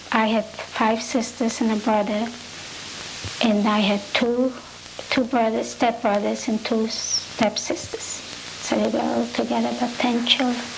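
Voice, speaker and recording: In a room with audible echo and noticeable background noise, a woman talks at fairly high pitch and a fairly slow pace, with monotone, flat intonation and very even loudness. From Poland, near Warsaw. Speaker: Holocaust survivor. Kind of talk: oral history interview.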